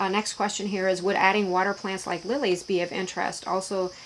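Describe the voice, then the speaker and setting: A woman speaks at a fairly quick pace. Noticeable background noise runs behind her. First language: Pennsylvania Dutch. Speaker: YouTuber. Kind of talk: casual Q&A vlog. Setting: in her shed. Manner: halting, many fillers.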